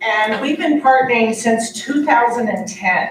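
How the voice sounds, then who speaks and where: A woman speaks with audible echo from the room. Noticeable background noise runs underneath. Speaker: nurse practitioner and nursing professor. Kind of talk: conference presentation.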